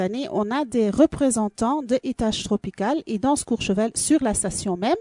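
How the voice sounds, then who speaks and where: In a Belgian accent, a woman speaks at a moderate pace with a fairly high pitch, ordinary pitch variation, and a dark, mellow tone over a quiet background. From Belgium. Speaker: dance school and festival organizer. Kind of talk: radio interview. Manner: halting, many fillers.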